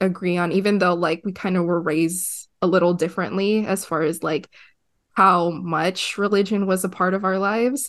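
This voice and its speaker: A woman with a plain, everyday voice, medium pitch and ordinary pitch variation at a moderate pace against a quiet background. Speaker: podcast co-host. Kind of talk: casual chat.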